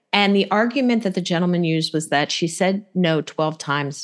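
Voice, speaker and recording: A woman with an ordinary speaking voice and a fairly low pitch talks at a moderate pace with lively intonation. The background is quiet. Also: hardly any pauses. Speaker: podcast host. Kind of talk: casual chat.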